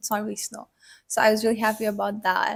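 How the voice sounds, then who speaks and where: The recording is very clean, with a silent background. A woman talks in a fairly high, somewhat breathy voice. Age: 20s. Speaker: university student. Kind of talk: casual interview. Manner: filler-heavy casual speech.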